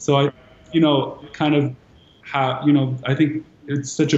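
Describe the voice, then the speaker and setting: A man speaks at a moderate pace in an American accent, with audible room echo. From Los Angeles, London and Dubai. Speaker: art collector and creative director; guest. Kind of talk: panel discussion. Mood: warm, relaxed. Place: home room. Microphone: video call.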